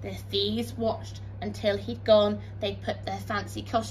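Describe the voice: Text is read out loud here. The delivery is plain.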